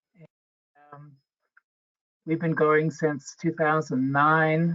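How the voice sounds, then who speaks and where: A man speaks at a fairly slow pace. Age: 80s+. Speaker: volunteer community advocate. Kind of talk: webinar panel introduction. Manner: halting, many fillers.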